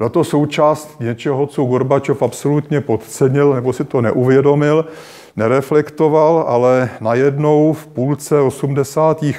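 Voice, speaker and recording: Fairly high in pitch, a man's voice carries a dark, mellow tone and fairly even intonation. He speaks at a fairly slow pace over a quiet background. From Czech Republic. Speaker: history professor. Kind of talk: lecture. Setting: stage with audience. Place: hall.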